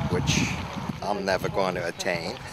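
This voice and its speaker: Loud background noise sits behind a man talking at a fairly slow pace. The sound is dry, with no echo. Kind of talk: interview answer. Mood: relaxed, friendly. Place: street.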